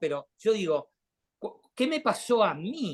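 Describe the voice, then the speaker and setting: A man at a fairly slow pace, his pitch swinging very widely. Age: 60s. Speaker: artist. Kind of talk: talk and discussion.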